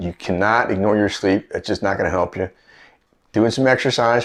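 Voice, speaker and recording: A man speaks at a fairly quick pace in an ordinary speaking voice, his fairly low pitch carried on fairly even intonation. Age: 60s. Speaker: fitness and health coach. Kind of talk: casual talk to camera. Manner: conversational, repetitive.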